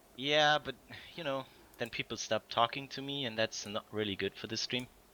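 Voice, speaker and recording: A man with a German accent speaks at a moderate pace and medium pitch, his bright, sharp tone showing ordinary pitch variation in a dry, close sound with no echo. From Germany (Bavaria). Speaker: game community stream host. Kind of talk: casual livestream chat with Q&A. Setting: recorded online stream.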